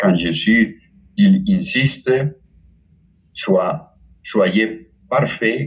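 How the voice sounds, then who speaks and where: A man speaks with a Spanish accent at a very slow pace. His speech has long, frequent pauses. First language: Spanish (speaking French). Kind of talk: spiritual talk. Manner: halting, with many repetitions.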